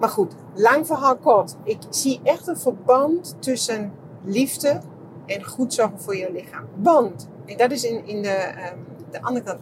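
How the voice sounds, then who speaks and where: Her intonation is lively, and her voice sits fairly high for a woman. She talks at a fairly slow pace, with big swings in loudness. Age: 50s. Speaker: podcaster and therapist. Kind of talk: casual monologue. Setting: walking outdoors.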